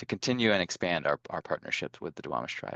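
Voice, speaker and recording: The man's voice comes through dry and close, with no echo. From US Pacific Northwest. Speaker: community board member. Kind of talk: meeting facilitation. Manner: halting.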